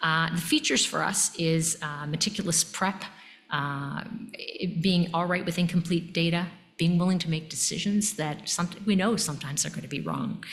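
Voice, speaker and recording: The speech moves at a moderate pace with ordinary pitch variation. Noticeable background noise and audible room echo fill the recording. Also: woman. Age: 60s. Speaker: emergency physician and medical education leader. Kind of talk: lecture. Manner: animated.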